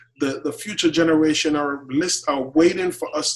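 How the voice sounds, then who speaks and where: The speaker is a man with a Jamaican accent. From Jamaica, Clarendon. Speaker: chef. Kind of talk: interview.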